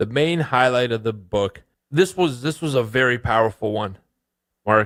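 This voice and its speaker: A man with an unremarkable speaking voice talks at medium pitch and a moderate pace, with ordinary pitch variation, in a very clean recording with a silent background. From Canada (immigrated from Bulgaria at seven). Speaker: trading podcast co-host and author. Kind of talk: casual podcast chat.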